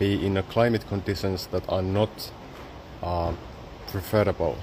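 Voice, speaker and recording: Slow-ish and fairly even in intonation, a man with a Finnish accent speaks in a fairly low pitch at a fairly slow pace. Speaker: photographer and exhibition artist. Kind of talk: exhibition guided talk. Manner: halting, with many fillers.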